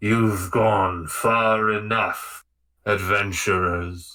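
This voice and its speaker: Putting on a character voice, a man delivers rumbling, booming speech at a very slow pace in a monotone, flat intonation. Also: fairly low pitch for a man. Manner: menacing, authoritative.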